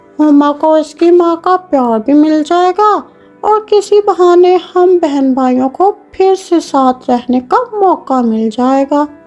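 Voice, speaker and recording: A cartoonish character voice from a woman, extremely high-pitched and fairly slow, with lively intonation, hardly any pauses and faint music in the background. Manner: two-faced, scolding.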